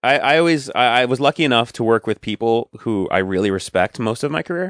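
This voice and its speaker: A man's normal speaking voice in an American accent, fairly quick and with lively intonation, dry and close with no echo over a quiet background. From Long Island, New York. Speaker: actor. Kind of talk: casual chat.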